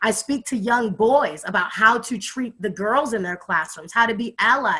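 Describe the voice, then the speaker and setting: The voice is loud, with a bright, sharp tone. It moves at a moderate pace with ordinary pitch variation. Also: woman, fairly high pitch for a woman. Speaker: youth advocate and hip hop artist. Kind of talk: casual chat. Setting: video call.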